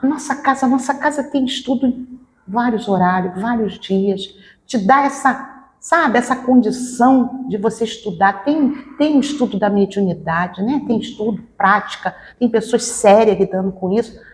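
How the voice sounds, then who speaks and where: A woman's high-pitched voice at a moderate pace. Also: ordinary pitch variation. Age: 60s. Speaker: spiritist medium. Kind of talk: interview. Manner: halting.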